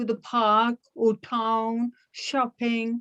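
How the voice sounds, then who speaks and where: A woman with a fairly high pitch speaks at a very slow pace. The sound is dry and close, with no echo. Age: 80s+. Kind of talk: interview answer.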